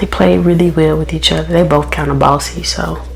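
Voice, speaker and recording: Soft-spoken, a woman is heard with audible room echo and music in the background. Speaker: beauty vlogger and mom. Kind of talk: casual chat. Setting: home bathroom.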